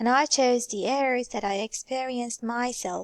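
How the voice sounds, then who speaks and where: A woman with a Persian accent, fairly high-pitched, at a moderate pace with fairly even intonation, in a dry, close sound with no echo and a quiet background. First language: Farsi. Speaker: student. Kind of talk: oral presentation.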